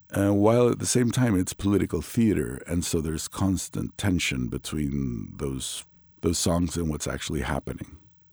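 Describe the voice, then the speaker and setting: This man's very deep, low voice has a dark, mellow tone and very wide pitch swings at a moderate pace, captured in a very clean recording with a silent background. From Mexico. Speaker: anthropology professor. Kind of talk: interview.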